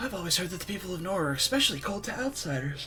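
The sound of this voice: In a put-on character voice, a man talks very fast, breathy and high-pitched, with clear music playing behind him.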